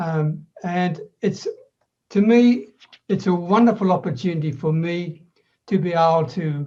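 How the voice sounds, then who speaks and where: Speaking with an Australian accent, a man has a dark, mellow tone at a fairly high pitch, with ordinary pitch variation. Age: 70s. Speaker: online business coach. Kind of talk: podcast interview.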